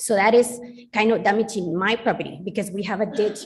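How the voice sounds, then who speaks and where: With a Spanish accent, a woman talks at a fairly quick pace in a somewhat breathy voice of medium pitch. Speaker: resident speaking at public hearing. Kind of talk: public comment at council meeting.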